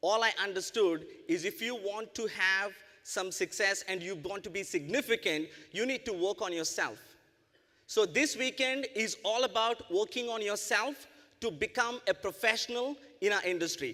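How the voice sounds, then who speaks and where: With an Indian accent, a man speaks in a raised, projected voice, high in pitch, animated and bright and sharp in tone, with lively intonation, in a very clean recording against a silent background. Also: moderate pace. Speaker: network marketing business owner and speaker. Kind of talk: motivational presentation. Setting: convention stage with audience.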